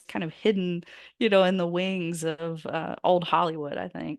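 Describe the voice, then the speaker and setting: The background is quiet as a woman speaks at a moderate pace. Her pitch is fairly low. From US South. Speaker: biographer and author. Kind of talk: interview.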